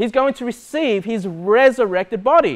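With big pitch swings, a man talks at a high pitch.

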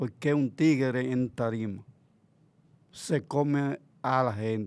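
A man speaks at a very slow pace. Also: very clean recording, silent background. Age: 60s. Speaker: bachata promoter. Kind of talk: casual interview. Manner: halting.

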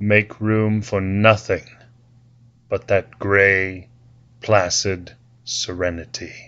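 Speaking very slowly with long, frequent pauses, a man keeps a fairly low pitch and a monotone, flat intonation. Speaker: guided meditation leader. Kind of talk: guided meditation. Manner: slow, calm, soothing.

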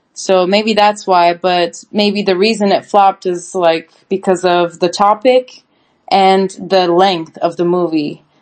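Speaking at a very slow pace, a woman keeps fairly even intonation and very even loudness. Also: medium pitch for a woman. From Turkey. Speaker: co-reviewer, host's wife. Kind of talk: casual chat.

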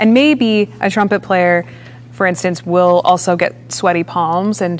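Speaking fairly slowly in an American accent, a woman has a fairly low pitch and lively intonation. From US Midwest, Chicago area. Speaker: orchestral percussionist; guest. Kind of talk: interview. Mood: relaxed, reflective. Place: stage. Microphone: lapel.

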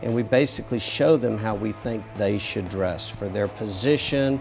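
Clear music plays in the background as a man speaks with a fairly low pitch. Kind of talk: interview answer. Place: shop. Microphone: lapel.

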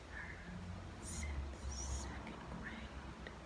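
A woman speaks in a whisper. Her pace is very slow. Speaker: ASMR creator. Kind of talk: ASMR session. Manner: whispered. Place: home room. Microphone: phone near.

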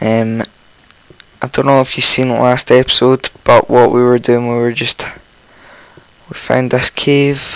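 A man speaks at a fairly slow pace with long, frequent pauses, his medium-pitched voice croaky yet with a clear, smooth tone. His pitch moves very little.

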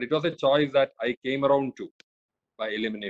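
The voice shows ordinary pitch variation against a quiet background. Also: man. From India, Kerala (Kochi). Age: 50s. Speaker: senior civil servant. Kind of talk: lecture. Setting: video call. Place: home room. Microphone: phone near.

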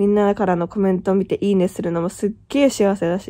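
A woman's dark, mellow tone comes at a moderate pace. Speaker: YouTuber, vlogger. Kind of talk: casual vlog talk to camera. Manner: chatty, rambling with fillers.

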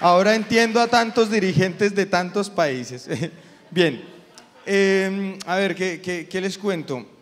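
A man's high-pitched voice, very slow in pace, with ordinary pitch variation. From Colombia. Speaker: comedian. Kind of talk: stand-up. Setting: stage with audience. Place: stage. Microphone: handheld.

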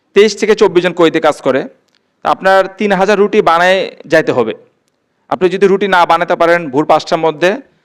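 High-pitched male voice with ordinary pitch variation. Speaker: released prisoner. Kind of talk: public speech.

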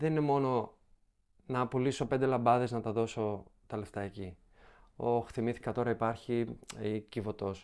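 A man with a medium pitch talks at a moderate pace in fairly even intonation, leaving long, frequent pauses. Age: young. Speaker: comedy content creator. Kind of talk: casual chat.

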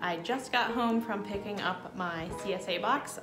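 Clear music plays in the background. Over it, a woman speaks with ordinary pitch variation. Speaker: home cooking vlogger. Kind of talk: casual vlog chat. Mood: warm, upbeat. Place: home room. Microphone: phone near.

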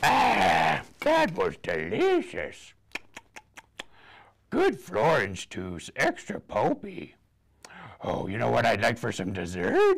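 A man performs a cartoonish character voice. He goes at a very slow pace, with long, frequent pauses. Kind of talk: children's storytime puppet voice. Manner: playful, gobbling, silly.

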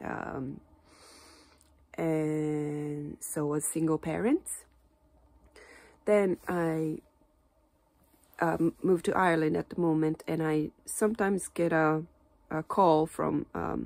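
A woman with a very deep, low voice speaks at a very slow pace with fairly even intonation. She leaves long, frequent pauses. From Japan. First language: Japanese. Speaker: Japanese teacher. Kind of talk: casual talk to camera. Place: home room. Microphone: phone near.

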